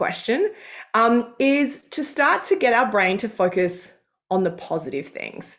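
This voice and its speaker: Speaking fairly slowly in an Australian accent, a woman has a fairly high pitch on a very clean recording with a silent background. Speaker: career coach. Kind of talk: live coaching call. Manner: animated.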